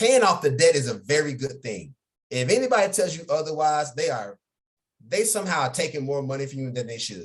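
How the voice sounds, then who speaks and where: Animated, somewhat breathy speech at a fairly quick pace, with very wide pitch swings and big swings in loudness. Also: man, fairly high pitch for a man. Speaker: financial educator. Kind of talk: online workshop. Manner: whispering, quieter.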